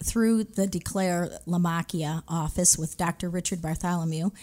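A woman's plain, everyday voice with an American accent, medium pitch and ordinary pitch variation, on a very clean recording with a silent background. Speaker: retired teacher. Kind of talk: testimony. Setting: studio.

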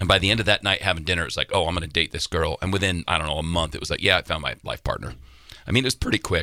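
Over a silent background in a very clean recording, a man with a very deep, low voice talks very fast in a bright, sharp, animated tone with ordinary pitch variation. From Wyoming. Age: 40s. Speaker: musician. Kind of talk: casual interview chat. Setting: studio. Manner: animated storyteller.

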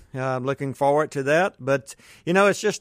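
Recorded with a dry, close sound and no echo, a man with a Southern US accent and fairly high pitch talks at a fairly quick pace. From US South. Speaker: school board candidate. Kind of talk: radio interview. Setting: studio.

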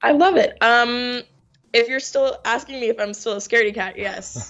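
A plain, everyday voice at a moderate pace. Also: woman. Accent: American. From New York. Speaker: actress. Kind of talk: interview.

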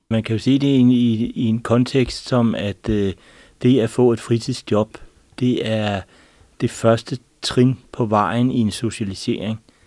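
Against a quiet background, a man with a medium pitch and a dark, mellow tone talks very slowly in a monotone, flat way. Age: 50s. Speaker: vision consultant. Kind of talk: panel discussion. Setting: studio.

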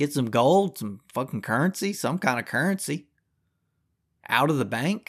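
Furious, a man with a Southern US accent speaks at a moderate pace and a fairly high pitch, his voice swinging very widely, with long, frequent pauses on a very clean recording with a silent background. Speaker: podcast host. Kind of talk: angry rant. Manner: furious, loud, profane, ranting.

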